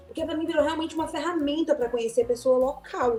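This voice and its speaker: A woman with a high-pitched voice talks while music plays in the background. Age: 30s. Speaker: podcast host. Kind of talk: casual podcast conversation.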